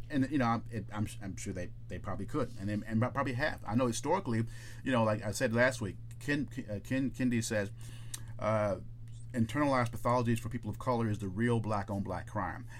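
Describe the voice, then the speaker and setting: The speaker moves at a fairly quick pace with fairly even intonation. Vocal fry runs through the voice. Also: man, medium pitch for a man. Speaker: podcast co-host. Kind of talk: casual chat. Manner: fast talker, stutters.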